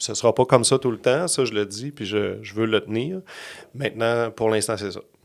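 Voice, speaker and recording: Loudness swings a lot over a moderate pace and ordinary pitch variation, in a very clean recording with a silent background. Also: man, medium pitch for a man. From Quebec City. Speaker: communications agency founder, former radio host. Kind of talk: casual interview chat.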